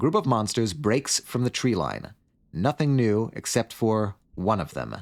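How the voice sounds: The passage comes in a natural reading voice with ordinary pitch variation.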